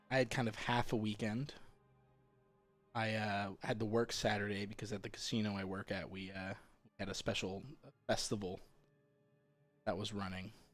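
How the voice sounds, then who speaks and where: Over music in the background, a man with fairly low pitch talks in a monotone, flat way, leaving long, frequent pauses. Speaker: video game streamer. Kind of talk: casual chat. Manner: low-pitched, deliberately not overstressed; halting, repeats words.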